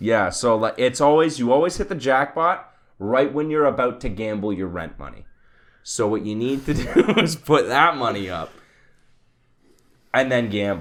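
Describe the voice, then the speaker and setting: A man speaks at a moderate pace with a medium pitch and lively intonation. He leaves long, frequent pauses. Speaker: podcast host. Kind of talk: casual podcast banter.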